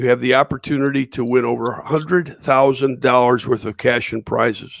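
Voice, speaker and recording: The man's medium-pitched voice comes through dry and close, with no echo. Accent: Western New York. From Western New York. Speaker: livestream host. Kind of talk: live-stream interview. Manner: halting, many fillers.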